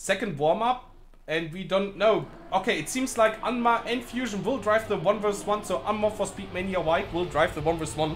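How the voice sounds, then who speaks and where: Over music in the background, a man with a German accent talks at a fairly quick pace in a high pitch with ordinary pitch variation. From Germany. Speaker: esports caster. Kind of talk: live commentary. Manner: halting, hesitant.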